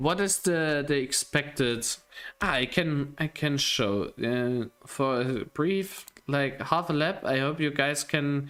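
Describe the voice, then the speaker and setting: A man's fairly high voice with a non-native accent, ordinary pitch variation, very even loudness and a very slow pace, against noticeable background noise. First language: not English. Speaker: sim racing livestream commentator. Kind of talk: live commentary. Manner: casual, halting.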